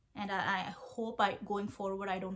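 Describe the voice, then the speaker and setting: With an Indian accent, a woman talks at a fairly slow pace. Her pitch is medium. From India, Kerala. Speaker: vlogger, PhD researcher. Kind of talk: casual vlog talk to camera. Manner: halting, many fillers.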